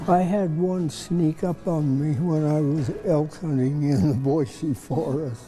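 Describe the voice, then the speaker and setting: A man with a fairly high pitch at a very slow pace, hardly any pauses, ordinary pitch variation and very even loudness, over music in the background. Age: 80s+. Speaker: museum volunteer. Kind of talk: interview answer. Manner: sincere, warm storyteller.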